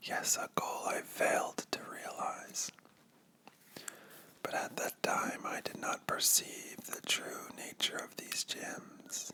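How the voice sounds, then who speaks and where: A man whispers at a very slow pace over noticeable background noise. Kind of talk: ASMR comic book reading. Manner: whispered.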